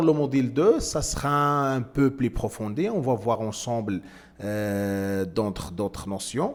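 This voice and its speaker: Speaking with a non-native accent, a man at medium pitch uses lively intonation at a very slow pace. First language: not French (speaking French). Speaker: trading instructor. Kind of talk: tutorial. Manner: halting, many hesitations.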